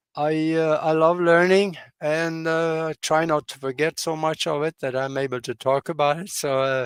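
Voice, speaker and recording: The speech moves at a moderate pace with fairly even intonation and hardly any pauses, in a dry, close sound with no echo. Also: man, fairly high pitch for a man. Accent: Norwegian. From Norway. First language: Norwegian. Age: 80s+. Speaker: pilot and broadcaster. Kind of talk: interview. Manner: halting, many fillers.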